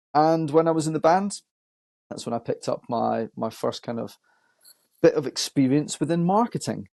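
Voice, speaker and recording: Recorded with a dry, close sound and no echo, a man with a Scottish accent speaks in a fairly high pitch and a dark, mellow tone, using lively intonation and long, frequent pauses. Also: moderate pace. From Scotland, Edinburgh. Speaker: marketing agency owner. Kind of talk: podcast interview. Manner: hesitant, many fillers.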